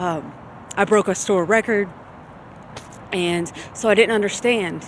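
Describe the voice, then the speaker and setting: A woman with a Louisiana accent at a medium pitch, fairly slow pace and fairly even intonation. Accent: Southern US (Louisiana). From US South, Shreveport, Louisiana. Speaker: vlogger. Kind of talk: personal testimony video.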